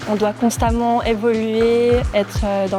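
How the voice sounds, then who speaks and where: Music plays in the background, and the room echo is audible. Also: woman. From Switzerland. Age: 20s. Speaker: content creator. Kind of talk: casual monologue to camera. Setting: gym.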